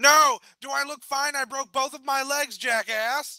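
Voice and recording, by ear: A man does a put-on character voice at an extremely high pitch, bright and sharp in tone. He goes at a fairly slow pace with fairly even intonation, and the sound is dry and close with no echo.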